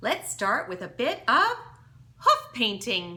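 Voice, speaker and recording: Putting on a character voice, a woman speaks in a sing-song way at a fairly slow pace, her pitch fairly high. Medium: read story. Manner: trilling, sing-song.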